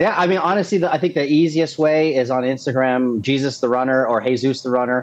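An American-accented man at a medium pitch talks very fast with hardly any pauses, his loudness very even and his pitch variation ordinary. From Texas. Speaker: amateur runner and race pacer, military veteran. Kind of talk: casual interview chat. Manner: animated.

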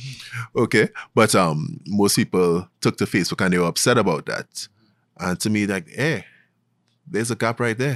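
In a Trinidadian accent, the voice moves at a fairly quick pace, with a dry, close sound with no echo and a very clean, silent background. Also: man. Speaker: investment banker and podcast host. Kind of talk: casual interview. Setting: studio.

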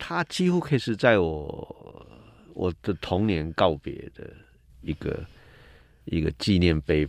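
Speaking very slowly with long, frequent pauses, a man with a very deep, low pitch keeps lively intonation on a very clean recording with a silent background. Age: 60s. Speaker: cultural critic. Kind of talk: casual chat.

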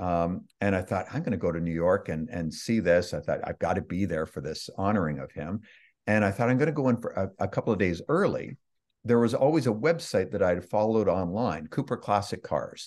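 An ordinary speaking voice with a Canadian accent moves at a fairly quick pace with lively intonation against a quiet background. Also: man, fairly low pitch for a man. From Canada (Toronto, Ontario). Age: 60s. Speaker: author and online marketer. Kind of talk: interview.

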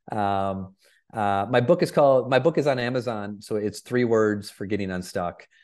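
A man with a normal speaking voice talks at a moderate pace over a quiet background. His pitch is fairly low, with ordinary variation. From Michigan. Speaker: keynote speaker and performance coach. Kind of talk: podcast interview.

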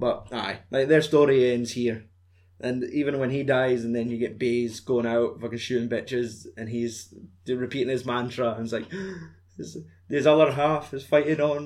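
A man with a Scottish accent, medium in pitch, at a moderate pace with fairly even intonation. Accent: Scottish (Fife). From Fife, Scotland. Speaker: podcast host. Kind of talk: casual chat. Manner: joking, swearing.

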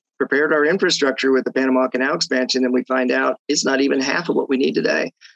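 Varying his pitch in the usual way, a man rushes along at a very fast pace. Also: very even loudness, dry, close sound with no echo. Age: 50s. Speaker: real estate economist. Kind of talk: interview. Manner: conversational with fillers.

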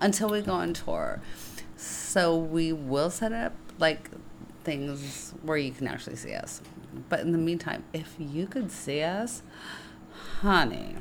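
A woman speaks fairly slowly in a fairly low pitch, with long, frequent pauses and ordinary pitch variation. Her tone is animated, and room echo is audible. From San Francisco. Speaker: podcast co-host, writer. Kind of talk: casual chat. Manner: animated, laughing often.

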